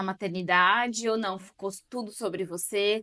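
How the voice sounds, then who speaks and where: A woman with a plain, everyday voice, medium pitch and ordinary pitch variation, speaking at a fairly slow pace in a dry, close sound with no echo against a quiet background. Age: 30s. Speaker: channel host, interviewer. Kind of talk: casual interview. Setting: video recording with her mother.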